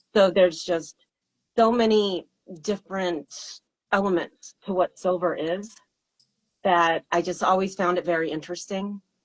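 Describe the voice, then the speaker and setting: A woman's fairly even intonation at a moderate pace, broken by long, frequent pauses. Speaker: singer and songwriter. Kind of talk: interview. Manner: halting.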